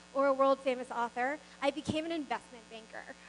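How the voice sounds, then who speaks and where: Talking at a fairly quick pace, a woman with a Mid-Atlantic accent uses a high pitch and ordinary pitch variation. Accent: American, Mid-Atlantic. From US East Coast, Maryland suburbs of Washington DC. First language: not English. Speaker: business founder, keynote speaker. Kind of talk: motivational speech.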